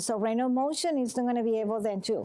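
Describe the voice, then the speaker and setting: A woman with a Venezuelan accent, dark and mellow in tone, with ordinary pitch variation. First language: Spanish. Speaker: massage and manual therapist. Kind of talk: talk to a support group. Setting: room with a small audience.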